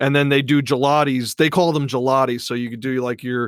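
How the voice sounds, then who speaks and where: On a very clean recording with a silent background, a man with a Philadelphia accent talks at a fairly quick pace and medium pitch in a monotone, flat intonation. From Philadelphia area, US. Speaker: podcast guest. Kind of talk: casual chat.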